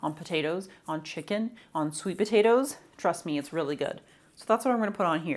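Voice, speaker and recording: On a very clean recording with a silent background, a woman with a fairly low voice speaks at a very fast pace with lively intonation. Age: 30s. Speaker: lifestyle vlogger. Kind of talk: casual vlog talk.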